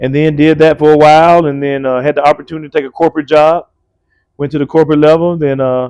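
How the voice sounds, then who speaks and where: Talking very fast in a flat monotone, a man with an Alabama accent and a fairly high pitch comes through dry and close with no echo. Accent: Southern US (Alabama). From US South, rural Alabama. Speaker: college basketball coach. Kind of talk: podcast interview. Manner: casual, conversational.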